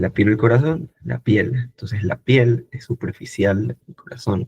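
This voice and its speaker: A man's voice with vocal fry and big swings in loudness, in a dry, close sound with no echo. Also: medium pitch for a man, ordinary pitch variation. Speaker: medical student tutor. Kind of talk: online lecture. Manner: animated.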